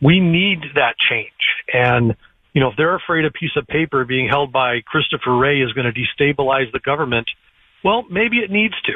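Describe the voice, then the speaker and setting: Here is a man with a normal speaking voice and a fairly high pitch. He keeps a moderate pace and lively intonation. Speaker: caller. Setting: phone call from airport.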